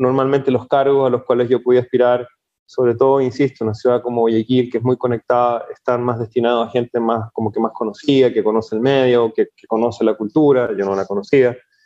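A man speaks at a medium pitch and a fairly quick pace. His intonation is monotone and flat, with hardly any pauses. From Chile. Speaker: startup founder and CEO. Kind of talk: interview, casual conversation.

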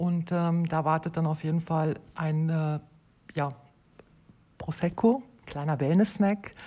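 A woman speaks at a very slow pace in a dark, mellow tone with a fairly low pitch. The recording is very clean, with a silent background. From Germany. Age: 40s. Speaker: hotel host. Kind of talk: casual interview.

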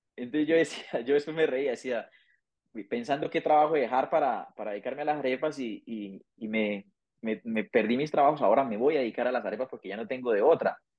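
A man with a medium pitch and ordinary pitch variation delivers his words at a fairly quick pace. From Colombia, Santander. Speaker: migrant, accountant and arepa business owner. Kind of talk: interview, personal story. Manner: halting, frequent word repetitions.

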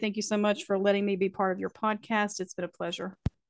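A woman with an Appalachian accent talks at a very fast pace, at a medium pitch with fairly even intonation, in a dry, close sound with no echo. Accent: Appalachian Southern US. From US South, Appalachian North Carolina. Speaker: author, poet and podcaster. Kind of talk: casual interview chat. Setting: remote call.

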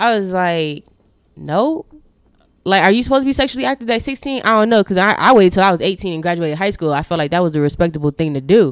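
A woman talks very fast at a medium pitch, her voice swinging very widely in pitch, on a very clean recording with a silent background. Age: 20s. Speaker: YouTuber. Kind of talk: personal testimony in casual chat.

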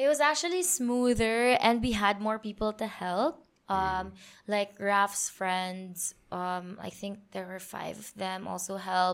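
At a very slow pace, a woman of medium pitch speaks with ordinary pitch variation and big swings in loudness. The recording is very clean, the background silent. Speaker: powerlifter and event organizer. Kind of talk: casual interview chat. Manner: hesitant, many fillers.

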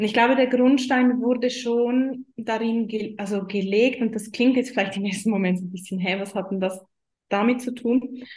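Speaking with a Swiss German accent, a woman keeps a moderate pace, a fairly high pitch and fairly even intonation. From Switzerland. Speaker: business mentor for women. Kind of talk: interview.

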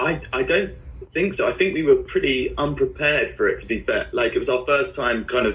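A man talks with a southern English accent. His pace is very fast. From southern England (Guildford, Surrey). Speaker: musician. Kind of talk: interview.

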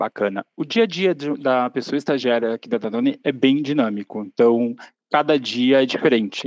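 A man in a normal speaking voice, medium-pitched, at a fairly slow pace, dry and close with no echo. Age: 30s. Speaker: marketing intern. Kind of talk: interview conversation.

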